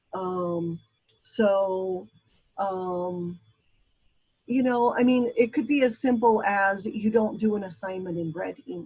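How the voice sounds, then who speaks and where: A woman with a medium pitch and a dark, mellow, somewhat breathy tone talks very slowly, with ordinary pitch variation and long, frequent pauses. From Brazil. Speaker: college instructor. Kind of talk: lecture. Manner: hesitant, many fillers.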